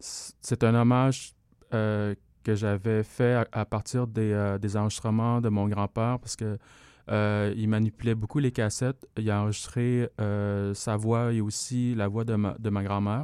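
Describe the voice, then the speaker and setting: A man's fairly low, dark, mellow voice in a flat monotone at a fairly slow pace, dry and close with no echo on a very clean recording with a silent background. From Laos. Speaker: electronic music artist. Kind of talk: radio interview.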